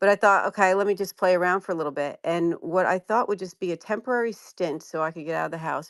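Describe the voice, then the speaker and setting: A woman with a New Jersey accent at a very fast pace, ordinary pitch variation, and a dry, close sound with no echo. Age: 60s. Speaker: commercial real estate lawyer. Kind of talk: interview, personal background story.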